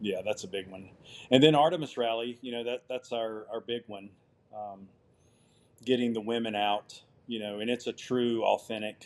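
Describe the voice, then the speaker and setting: A man at a moderate pace with fairly even intonation, big swings in loudness, and long, frequent pauses. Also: medium pitch for a man. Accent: Southern US. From US South. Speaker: outdoor adventure company owner. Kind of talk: podcast interview.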